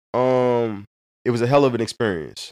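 A man talks at medium pitch and a moderate pace. The sound is dry and close with no echo, over a quiet background. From St. Louis, Missouri (North County, Hazelwood). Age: 30s. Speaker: fatherhood nonprofit founder. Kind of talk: casual chat.

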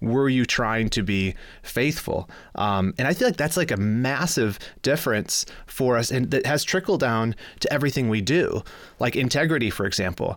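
A man with a Midwestern American accent talks at a moderate pace and a medium pitch, with lively intonation. His loudness stays very even, and the recording is very clean with a silent background. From US Midwest, Michigan. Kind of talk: casual interview chat.

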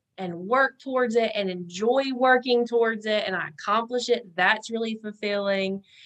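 A woman speaks with a North Carolina accent and a fairly high pitch. Her intonation stays fairly even. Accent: Southern US (North Carolina). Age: 20s. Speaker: podcast guest. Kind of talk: casual interview chat.

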